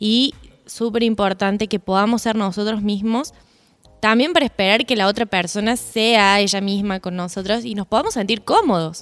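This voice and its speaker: A normal speaking voice from a woman, medium in pitch, moderate in pace, with ordinary pitch variation. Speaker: podcast co-host. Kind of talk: casual chat.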